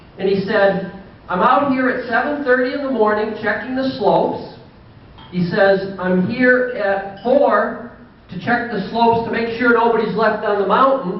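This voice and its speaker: A high-pitched man talks at a moderate pace with fairly even intonation. The room echo is audible, and there is noticeable background noise. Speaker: banquet speaker, car parts seller. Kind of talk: after-dinner speech. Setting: banquet with audience.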